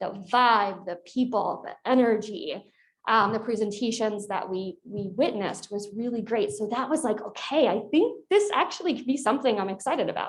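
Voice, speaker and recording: With an American accent, a woman speaks at a fairly high pitch and a moderate pace, using ordinary pitch variation and hardly any pauses. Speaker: corporate executive, alumna panelist. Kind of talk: panel discussion.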